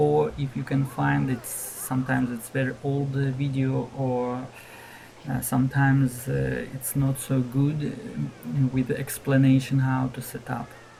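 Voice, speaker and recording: Someone with a non-native accent speaks at a fairly slow pace against noticeable background noise. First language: not English. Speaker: gaming video creator. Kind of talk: tutorial. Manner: halting, many fillers.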